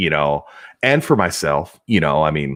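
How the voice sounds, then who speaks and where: Over a very clean recording with a silent background, a man with an American accent speaks at a fairly slow pace with vocal fry. His tone is bright, sharp and energetic, and his intonation is lively. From United States. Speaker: podcast host and job seeker. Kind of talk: casual interview chat.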